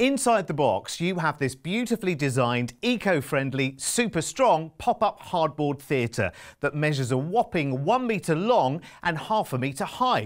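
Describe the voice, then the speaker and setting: Against a quiet background, the speaker moves at a moderate pace with very wide pitch swings. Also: man. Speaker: presenter.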